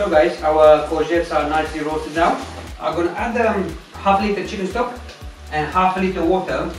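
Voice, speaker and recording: Clear music plays behind a man with a high-pitched voice. He speaks at a fairly quick pace, and audible room echo surrounds him. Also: ordinary pitch variation. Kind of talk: cooking tutorial. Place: kitchen.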